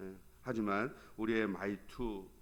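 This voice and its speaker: A man with a Gyeongsang accent and a medium pitch speaks at a very slow pace. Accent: Gyeongsang dialect Korean. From Gyeongsang region, South Korea. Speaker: pastor. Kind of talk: sermon. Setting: church.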